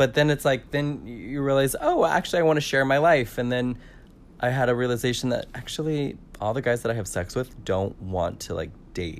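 In an ordinary speaking voice, a man with an American accent talks at a fairly quick pace, medium in pitch with ordinary variation. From California. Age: 30s. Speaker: podcast guest. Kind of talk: casual chat.

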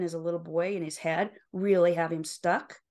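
A woman with an American accent, fairly low in pitch, with fairly even intonation against a quiet background. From rural Utah, US. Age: 60s. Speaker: life and career coach. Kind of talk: interview conversation.

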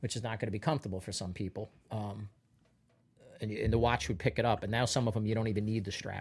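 A man's fairly low voice at a very fast pace with fairly even intonation, music playing in the background. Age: 50s. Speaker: comedian. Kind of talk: casual chat.

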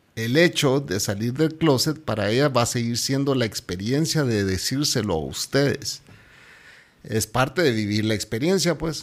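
A man talks in a plain, everyday voice at medium pitch. His pace is moderate and his intonation lively. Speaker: podcast host. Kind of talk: casual chat.

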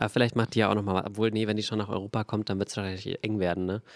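A man's fairly low, monotone voice at a very fast pace, dry and close with no echo. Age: 20s. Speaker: podcast co-host. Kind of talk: casual chat.

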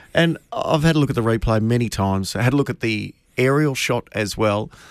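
Speaking fairly quickly with lively intonation, a man with an Australian accent and a medium pitch is heard in a very clean recording with a silent background and a dry, close sound with no echo. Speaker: racing radio host. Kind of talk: radio panel discussion about horse racing.

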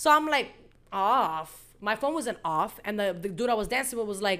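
Lively intonation and a bright, sharp tone mark a woman speaking at a moderate pace. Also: medium pitch for a woman, very clean recording, silent background.

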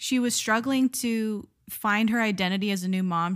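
A woman speaks in a plain, everyday voice with an American accent. Her pitch is medium, with ordinary variation. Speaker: podcast host. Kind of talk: casual chat.

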